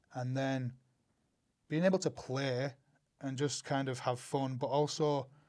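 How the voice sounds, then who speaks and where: A man speaks with a Northern English accent. His pitch is medium. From Northern England. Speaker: actor, writer, producer. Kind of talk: interview answer.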